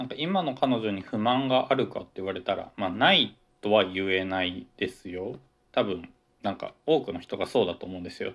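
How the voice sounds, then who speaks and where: Here is an ordinary speaking voice from a man, pitched fairly low with ordinary pitch variation. He talks at a fairly quick pace, and his loudness swings widely. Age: 20s. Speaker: podcaster, office worker and grad student. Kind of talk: solo casual talk. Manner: rambling, self-correcting.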